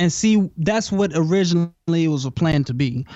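In a normal speaking voice, a man with a fairly high pitch talks at a moderate pace with an American accent. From Houston, Texas. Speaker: hip hop artist. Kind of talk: interview. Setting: phone call.

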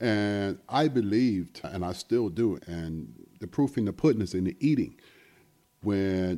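This man has an American accent and a fairly low pitch. His tone is dark and mellow, with lively intonation. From US South, South Carolina. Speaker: music venue owner. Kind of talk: casual interview. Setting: studio.

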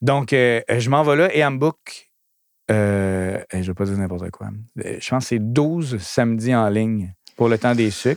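On a very clean recording with a silent background, a man speaks at a medium pitch with an animated tone and ordinary pitch variation. His pace is fairly slow, with long, frequent pauses. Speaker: DJ and entertainment entrepreneur. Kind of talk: casual interview.

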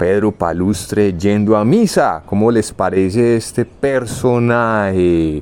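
Very slowly and with hardly any pauses, a man speaks at a fairly low pitch with ordinary variation. His loudness stays very even. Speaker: podcast host. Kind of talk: casual chat.

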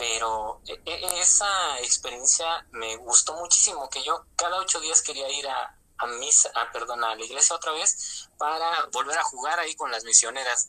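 This man's voice has a bright, sharp tone and fairly high pitch. He talks at a fairly slow pace with ordinary pitch variation. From Mexico, Toluca, State of Mexico. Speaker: former lay missionary. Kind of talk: testimony. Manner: halting, with repetitions.

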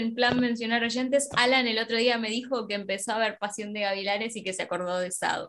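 A woman talks at a fairly quick pace with hardly any pauses. She has a normal speaking voice. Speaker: podcast co-host. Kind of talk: casual chat.

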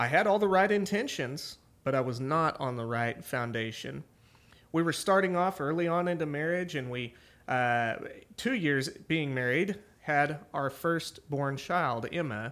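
On a very clean recording with a silent background, a man with an American accent and a normal speaking voice talks at a fairly slow pace, fairly high-pitched, with lively intonation. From Oklahoma (small town). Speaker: pastor and podcast host. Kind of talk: personal testimony on a ministry podcast.

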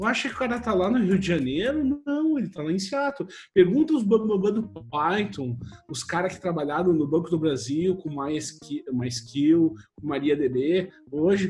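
Music plays in the background as a man with a southern Brazilian accent talks at a fairly slow pace in a high pitch, with very wide pitch swings. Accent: gaúcho Brazilian Portuguese. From Brazil, Rio Grande do Sul (Santa Cruz do Sul). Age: 40s. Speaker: software engineer. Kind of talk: casual chat.

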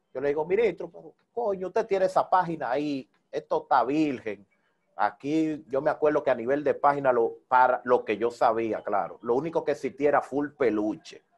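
A man's fairly high voice with lively intonation over a quiet background. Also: moderate pace. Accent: Dominican. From Dominican Republic, Santo Domingo (Herrera). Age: 30s. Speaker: salsa DJ and radio presenter. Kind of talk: interview.

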